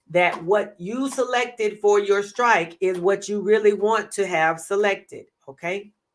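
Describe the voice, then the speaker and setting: In a normal speaking voice, a woman talks at a medium pitch. She goes at a fairly slow pace, and her pitch varies in an ordinary way. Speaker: trading educator. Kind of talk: live stream tutorial. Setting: live stream.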